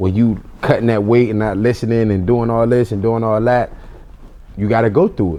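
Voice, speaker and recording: In a plain, everyday voice, a man speaks at medium pitch and a fairly quick pace with fairly even intonation. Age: 20s. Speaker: boxer. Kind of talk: interview.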